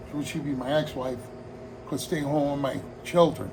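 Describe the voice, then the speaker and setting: A man with an American accent speaks at a fairly high pitch, with audible room echo and noticeable background noise. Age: 60s. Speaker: hobbyist vlogger, retired firefighter. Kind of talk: casual vlog monologue. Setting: home hobby room. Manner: rambling, relaxed.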